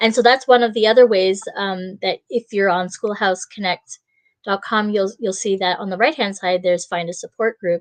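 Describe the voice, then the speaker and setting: In a dry, close sound with no echo, a woman with an unremarkable speaking voice talks at a medium pitch and moderate pace with fairly even intonation. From Ontario, Canada. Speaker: online show host. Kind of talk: video call interview.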